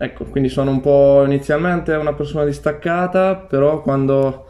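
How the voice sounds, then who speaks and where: The speaker talks at a moderate pace. The intonation stays fairly even. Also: man. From Marche, Italy. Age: 20s. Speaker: university student and breakdancer; interviewee. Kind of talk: interview. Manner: hesitant. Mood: calm, shy, warm. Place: home room.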